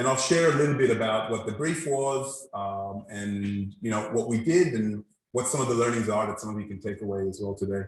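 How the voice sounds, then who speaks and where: This man sounds somewhat breathy. He moves at a fairly quick pace with hardly any pauses. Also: medium pitch for a man, ordinary pitch variation. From mixed: born in Israel, Brazilian parents, lived in Singapore, Australia, UAE. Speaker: design presenter at meetup. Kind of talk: presentation to audience. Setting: event venue with live and online audience. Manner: conversational, with fillers.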